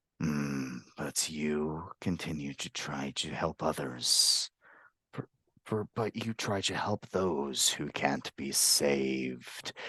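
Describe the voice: This is a put-on character voice with a raspy sound. It moves at a very slow pace. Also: man, very deep, low pitch for a man.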